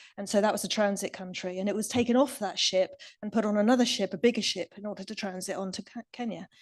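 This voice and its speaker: In an English accent, a woman speaks at a medium pitch. Her intonation is fairly even. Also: quiet background. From England. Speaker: recycling industry expert speaker. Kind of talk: conference Q&A answer.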